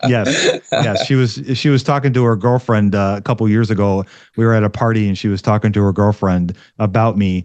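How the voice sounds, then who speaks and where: A man with a fairly low pitch speaks at a fairly quick pace in an ordinary speaking voice, his intonation fairly even and his loudness very even. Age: 50s. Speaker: investing podcast host and educator. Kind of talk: interview conversation.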